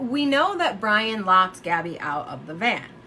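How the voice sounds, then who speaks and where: A woman at a fairly slow pace, with very wide pitch swings and noticeable background noise. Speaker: true crime youtuber. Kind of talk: casual monologue speculating on a case. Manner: halting, many fillers and restarts.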